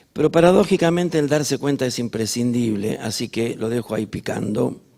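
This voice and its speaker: A man with a Rioplatense accent, a dark, mellow tone, lively intonation and a fairly quick pace. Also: medium pitch for a man. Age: 60s. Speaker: musical theatre director and choreographer. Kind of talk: onstage interview. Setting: stage with audience.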